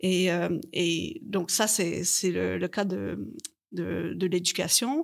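On a very clean recording with a silent background, a woman talks at a medium pitch with audible vocal fry. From Canada. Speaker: linguistics researcher. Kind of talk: panel interview. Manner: halting, many repetitions.

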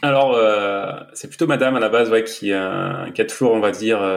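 An ordinary speaking voice, a man at medium pitch and a moderate pace, with ordinary pitch variation. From southern France, Var. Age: 30s. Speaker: entrepreneur and new father. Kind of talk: casual interview.

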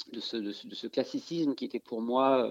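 The sound is dry and close with no echo as a man talks at medium pitch, his pitch varying in an ordinary way. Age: 40s. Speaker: amateur writer in a writing workshop. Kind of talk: interview. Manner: halting, many repetitions and fillers.

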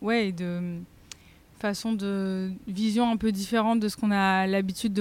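In a monotone, flat delivery, a woman speaks at a medium pitch and a fairly slow pace. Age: 20s. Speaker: vegetarian restaurant chef and founder. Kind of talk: casual interview chat. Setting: in her restaurant.

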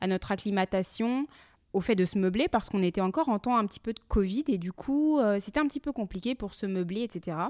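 A woman's normal speaking voice, fairly high in pitch and at a fairly quick pace, dry and close with no echo, in a very clean recording with a silent background. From France. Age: 30s. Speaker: podcaster and entrepreneur. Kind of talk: personal monologue podcast.

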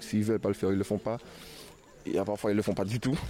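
Over noticeable background noise, a man speaks in a fairly low, monotone voice with flat intonation. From Guadeloupe. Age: 20s. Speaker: association vice-president. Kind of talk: interview.

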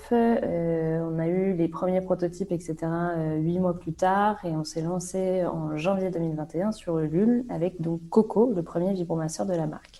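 A woman speaks very slowly with hardly any pauses and fairly even intonation. Her pitch is fairly low, and her tone is dark and mellow. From Brittany, France. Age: 20s. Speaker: entrepreneur, brand founder. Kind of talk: interview. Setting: remote call. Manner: hesitant, many fillers.

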